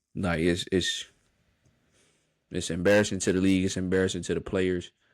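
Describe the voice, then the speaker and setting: Over a very clean recording with a silent background, a man with a very deep, low pitch talks at a fairly quick pace in an animated tone. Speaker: sports podcast host. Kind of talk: solo podcast monologue. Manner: animated, stammering with repeats.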